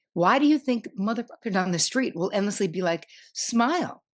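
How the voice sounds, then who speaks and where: A woman talks with a New Jersey accent and lively intonation. The background is quiet. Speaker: psychotherapist. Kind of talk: podcast interview. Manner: animated.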